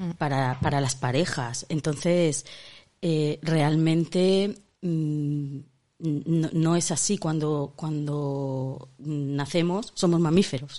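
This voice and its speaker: A woman with a very deep, low pitch speaks very slowly in a dark, mellow tone with ordinary pitch variation. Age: 50s. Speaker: podcast co-host. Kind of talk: casual chat.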